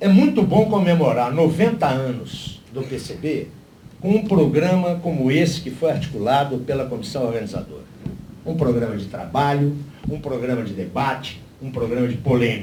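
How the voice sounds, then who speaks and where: Speaking at a moderate pace, a man uses lively intonation at a fairly high pitch. Audible room echo and noticeable background noise surround him. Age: 60s. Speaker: party lecturer at a political seminar. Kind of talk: lecture.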